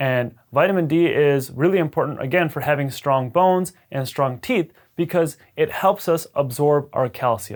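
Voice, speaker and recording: The intonation is lively. The recording is very clean, with a silent background. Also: man. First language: Punjabi. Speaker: dentist. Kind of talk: educational video talk. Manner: casual, conversational.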